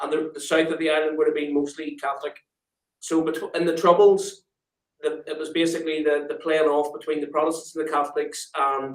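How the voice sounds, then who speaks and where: A man with a Belfast accent talks at a fairly quick pace, his fairly high pitch held in a monotone, flat intonation. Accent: Belfast Northern Irish. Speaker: guest. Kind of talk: casual interview chat.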